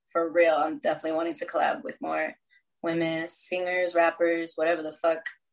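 A woman speaks in an American accent at a fairly quick pace, using a normal speaking voice. Her pitch is fairly low, with ordinary pitch variation. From Texas. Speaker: musician. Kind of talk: casual chat.

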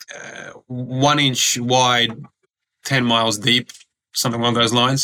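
A man's medium-pitched voice, monotone and flat, at a fairly slow pace with long, frequent pauses. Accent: Australian. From Australia (Sydney), born in Croatia. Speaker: former pro basketballer, recruitment business owner. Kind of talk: interview.

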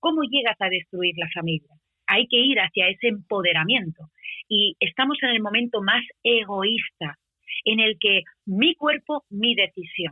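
Speaking at a moderate pace, a woman uses lively intonation at a medium pitch in a plain, everyday voice. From Spain. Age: 40s. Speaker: singer-songwriter. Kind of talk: radio interview. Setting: radio show.

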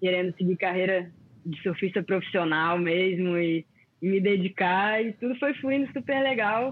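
A woman with a normal speaking voice talks at a fairly slow pace and medium pitch. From Brazil, Florianópolis (born in Rio). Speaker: former pro surfer. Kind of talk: casual chat.

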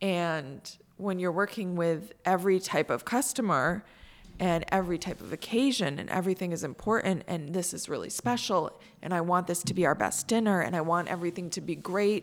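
A woman with an American accent has a normal speaking voice, fairly low in pitch, with ordinary pitch variation and a moderate pace. The recording is very clean, with a silent background. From Central New York. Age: 30s. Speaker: hotel and restaurant owner. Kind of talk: casual chat. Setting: studio.

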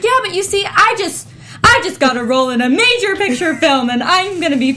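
A woman's put-on character voice, smug and extremely high-pitched, at a fairly quick pace over clear background noise. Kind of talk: bragging, casual. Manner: smug, entitled.

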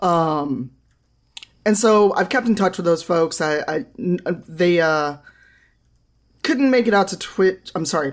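A woman with a fairly low pitch and an American accent talks at a moderate pace with lively intonation. The recording is very clean, with a silent background. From US Midwest, Chicago. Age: 40s. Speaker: diversity advocate, games organization founder. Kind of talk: casual chat.

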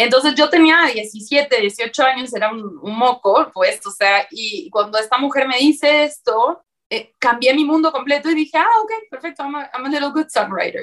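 The intonation is lively. Loudness swings widely throughout. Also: woman. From Uruguay. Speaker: songwriter and singer. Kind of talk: interview conversation.

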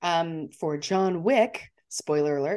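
In an unremarkable speaking voice, a woman talks at a fairly low pitch with ordinary pitch variation over a quiet background. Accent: American. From Montana. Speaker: podcast co-host, drink presenter. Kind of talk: casual chat.

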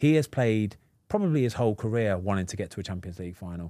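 In an English accent, a man speaks at a very fast pace with a dark, mellow tone. The recording is very clean, with a silent background. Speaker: podcast host, former footballer. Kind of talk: casual chat.

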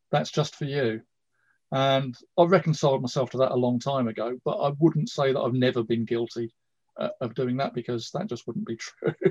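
A man's medium-pitched, somewhat breathy voice at a fairly quick pace with ordinary pitch variation, dry and close with no echo against a quiet background. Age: 60s. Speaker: karate instructor. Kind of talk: casual chat.

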